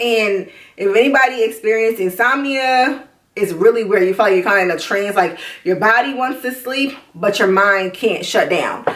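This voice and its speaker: Her pitch is fairly high, with ordinary pitch variation, at a moderate pace. This woman has a normal speaking voice. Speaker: vlogger. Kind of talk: video diary.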